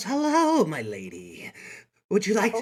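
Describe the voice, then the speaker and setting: Fairly high pitch and a fairly slow pace in a put-on character voice. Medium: actual play. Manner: creepy, fawning.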